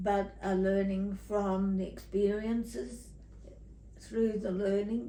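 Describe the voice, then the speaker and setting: A very slow woman's voice with an Australian accent. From Tasmania, Australia. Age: 80s+. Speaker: retired teacher. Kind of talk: interview answer.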